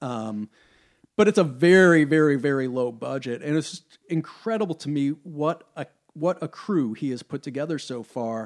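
A normal speaking voice with an American accent, moderate pace and lively intonation, big swings in loudness, dry and close with no echo, on a very clean recording with a silent background. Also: man, fairly high pitch for a man. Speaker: punk band lead singer. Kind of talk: casual chat.

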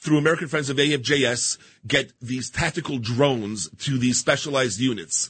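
Speaking with a New York accent, a man uses a medium pitch and ordinary pitch variation. His pace is moderate. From Queens, New York. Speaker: business executive and volunteer. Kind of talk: radio interview. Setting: radio studio.

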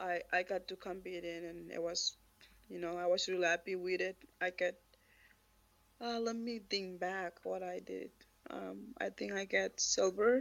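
Speaking with a Marshallese accent, a woman talks at a moderate pace with long, frequent pauses. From Marshall Islands. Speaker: weightlifter, Olympian. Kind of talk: casual interview. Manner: halting.

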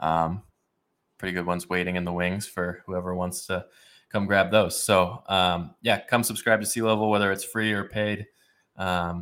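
A man's very deep, low pitch in monotone, flat intonation, on a very clean recording with a silent background. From Idaho, US (Boise). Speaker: writer and podcaster. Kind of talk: casual interview. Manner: many filler words, halting.

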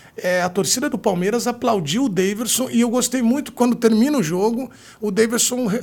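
A man talks at a fairly quick pace in a high pitch with ordinary pitch variation. Noticeable background noise sits under his voice. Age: 40s. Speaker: sports journalist and podcast host. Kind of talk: casual chat. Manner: animated.

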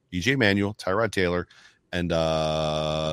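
A man talks with an American accent and ordinary pitch variation. The recording is very clean, with a silent background. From Buffalo, New York. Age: 50s. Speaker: football fan commentator. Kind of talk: casual chat.

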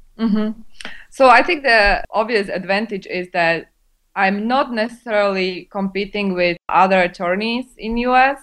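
A woman speaks in a Slovak accent at a moderate pace. Her pitch is medium with ordinary variation. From Slovakia. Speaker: immigration lawyer. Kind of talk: interview.

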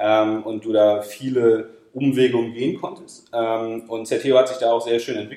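Man with an unremarkable speaking voice, medium pitch, fairly even intonation and moderate pace. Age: 30s. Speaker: e-commerce company managing director. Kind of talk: podcast interview.

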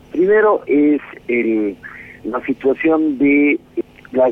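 The voice shows ordinary pitch variation, with noticeable noise in the background. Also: man. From Bolivia. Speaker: political scientist, professor. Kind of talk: interview. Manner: halting.

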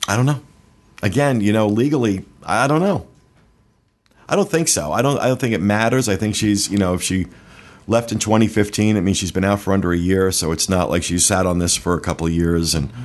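A man at a fairly quick pace, lively in intonation, with very even loudness. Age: 50s. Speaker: podcast host. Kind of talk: news reading; casual chat. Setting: studio.

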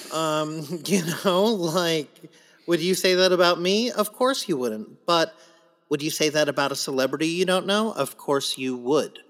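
A man with an American accent talks at a moderate pace. His voice is high-pitched, with ordinary pitch variation. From US West Coast (San Diego). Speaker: Broadway actor. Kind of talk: casual chat.

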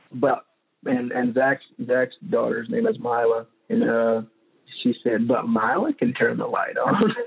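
At a fairly slow pace, a man talks with vocal fry and a slightly husky edge. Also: medium pitch for a man, ordinary pitch variation.

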